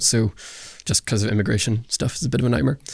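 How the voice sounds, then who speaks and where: A man talks at a very fast pace with a Northern Irish accent. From Northern Ireland. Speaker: youth pastor and filmmaker. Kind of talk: podcast interview. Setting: church basement room. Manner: casual, hesitant with fillers.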